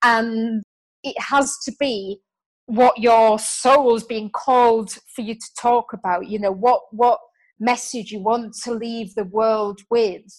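In a British accent, a woman talks at a very slow pace with a fairly high pitch and fairly even intonation. The recording is very clean, its background silent. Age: 30s. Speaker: author and business coach. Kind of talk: interview.

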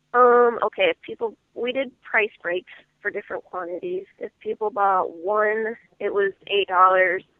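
Using an unremarkable speaking voice, a woman with an American accent talks at a fairly slow pace, her pitch fairly high with ordinary pitch variation. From US Midwest, Iowa. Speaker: independent singer-songwriter. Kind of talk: interview.

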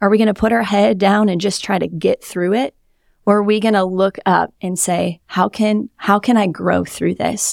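In an American accent, a woman with an ordinary speaking voice talks at a moderate pace and a medium pitch with fairly even intonation, in a dry, close sound with no echo on a very clean recording with a silent background. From Wisconsin. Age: 30s. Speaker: pastor. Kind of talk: testimony.

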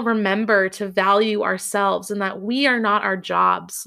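In a very clean recording with a silent background, a woman speaks slowly-ish at a fairly slow pace, her fairly high pitch carrying a bright, sharp tone. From US Northeast, Massachusetts. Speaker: podcast host, leadership coach. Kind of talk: monologue about own career.

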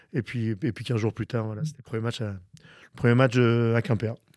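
A man at a moderate pace. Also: dry, close sound with no echo. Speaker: football coach. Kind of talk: interview. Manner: halting.

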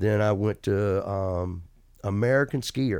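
A man with an Alabama accent at a fairly slow pace, fairly low in pitch with ordinary pitch variation, on a very clean recording with a silent background. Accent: Southern US (Alabama). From Alabama, US South. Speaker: retired pro water skier, hall of fame inductee. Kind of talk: casual interview.

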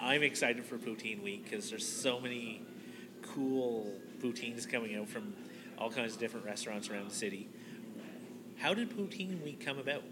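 Here a man with a medium pitch sounds enthusiastic, his intonation lively and his speech broken by long, frequent pauses. Noticeable background noise runs behind him. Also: fairly quick pace. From Nova Scotia, Canada. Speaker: podcast host. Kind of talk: casual interview chat.

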